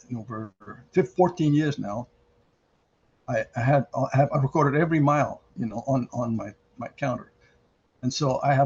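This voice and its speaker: This man's fairly high voice is somewhat breathy, with ordinary pitch variation, big swings in loudness, and long, frequent pauses. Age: 80s+. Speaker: mechanical engineer and cyclist. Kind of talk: interview answer.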